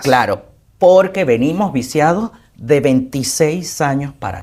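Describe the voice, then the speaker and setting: A man with a normal speaking voice, fairly high in pitch, with lively intonation at a fairly slow pace. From Venezuela. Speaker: actor, TV host, broadcaster and publicist, interview guest. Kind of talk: interview answer.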